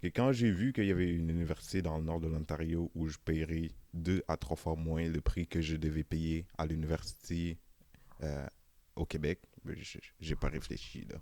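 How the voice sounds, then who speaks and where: A man's very deep, low voice with a dark, mellow tone, moderate pace and ordinary pitch variation. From Senegal. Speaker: interviewee, immigrant. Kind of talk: casual interview. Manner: hesitant, many fillers.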